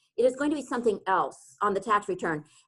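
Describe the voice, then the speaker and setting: This voice belongs to a woman. She speaks with lively intonation. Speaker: real estate attorney presenting a seminar. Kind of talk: webinar presentation. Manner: fast.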